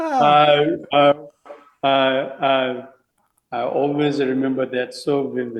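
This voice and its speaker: Speaking with a Tibetan accent, a man uses a fairly high pitch and a monotone, flat intonation. His pace is very slow, with long, frequent pauses. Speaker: Tibetan Buddhist teacher and sand mandala artist. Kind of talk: interview conversation.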